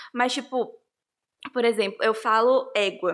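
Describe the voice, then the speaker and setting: A woman speaks at a fairly slow pace in a high voice with a Rondônia accent. The recording is very clean, with a silent background. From Rondônia, Brazil. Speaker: interviewee. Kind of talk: interview.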